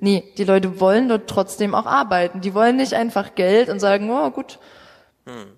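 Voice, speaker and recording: A woman talks at a moderate pace in an ordinary speaking voice, at a medium pitch with ordinary pitch variation. Her loudness swings widely. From Saxony, Vogtland. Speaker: youth party politician. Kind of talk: live panel discussion. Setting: stage with audience.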